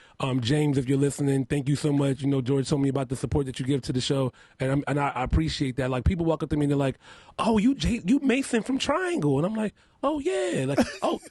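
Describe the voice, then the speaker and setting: Talking at a very fast pace, a man with a fairly high pitch sounds somewhat breathy and shows ordinary pitch variation. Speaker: makeup artist and reality show contestant. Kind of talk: radio interview. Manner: heavy enunciation at times.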